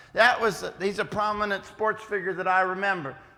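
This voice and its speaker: This man has an American accent and a raised, projected voice. He talks at a moderate pace. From West Virginia, US. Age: 50s. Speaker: preacher and schoolteacher. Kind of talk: youth lecture. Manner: casual, halting.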